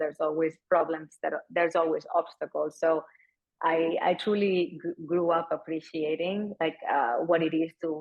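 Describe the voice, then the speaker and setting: A woman with a Spanish accent speaks in a fairly low pitch. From Spain, Barcelona. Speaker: company founder and CEO. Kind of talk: fireside chat interview.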